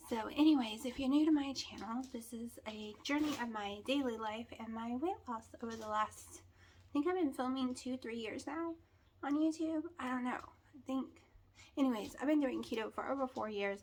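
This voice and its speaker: A soft-spoken woman with a high pitch talks at a moderate pace, with ordinary pitch variation and big swings in loudness. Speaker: keto weight-loss vlogger. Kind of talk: casual vlog. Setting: at home, early morning. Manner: quiet, talking softly.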